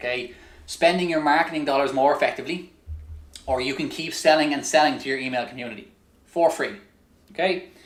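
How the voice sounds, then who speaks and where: In an Irish accent, the speaker uses ordinary pitch variation and long, frequent pauses, with audible room echo. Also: man, fairly high pitch for a man. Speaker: online business coach. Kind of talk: webinar sales pitch. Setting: live webinar. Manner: fast; energetic.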